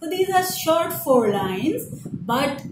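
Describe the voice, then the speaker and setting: A woman's voice moves in very wide pitch swings over noticeable background noise. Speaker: teacher. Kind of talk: lecture; poem reading aloud, slow and deliberate. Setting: online video lesson. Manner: formal, explanatory, didactic; measured, with fillers and repetition. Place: home room. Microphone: phone near.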